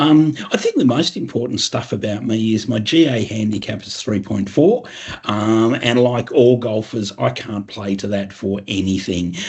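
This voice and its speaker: An Australian-accented man at a medium pitch and moderate pace, with ordinary pitch variation and noticeable background noise. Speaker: financial educator, former accounting partner. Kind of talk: webinar presentation. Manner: casual, filler-heavy.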